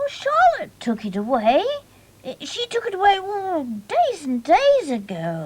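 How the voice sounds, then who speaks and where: This cartoonish character voice has an extremely high pitch and moves at a fairly slow pace. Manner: bright, eager.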